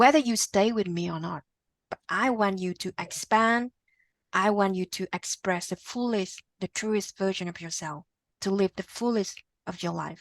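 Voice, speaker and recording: In a Vietnamese accent, a woman talks at a moderate pace and medium pitch with ordinary pitch variation. The recording is very clean with a silent background, its sound dry and close with no echo. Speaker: podcast guest. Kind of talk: interview conversation. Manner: halting, repetitive starts.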